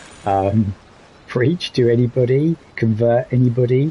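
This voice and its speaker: There is noticeable background noise behind this man. He speaks with a British accent and ordinary pitch variation. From Britain. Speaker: streamer in addiction recovery. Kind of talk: casual livestream monologue. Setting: solo livestream. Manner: hesitant, many fillers.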